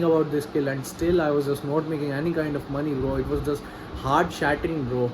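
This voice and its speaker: Against noticeable background noise, a man with a non-native accent speaks at a fairly high pitch in a monotone, flat intonation. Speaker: vlogger, freelance copywriter. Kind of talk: personal video diary. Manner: halting, repetitive.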